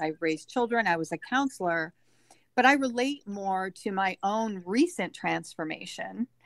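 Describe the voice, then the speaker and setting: On a very clean, dry and close recording with a silent background and no echo, a woman with an ordinary speaking voice talks at a moderate pace in a medium pitch with lively intonation. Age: 60s. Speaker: life coach, former counselor. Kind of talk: casual interview.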